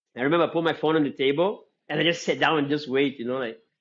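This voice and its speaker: A man at a very fast pace, fairly high pitch and ordinary pitch variation. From Brazil. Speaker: jiu-jitsu coach and champion. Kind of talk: interview storytelling.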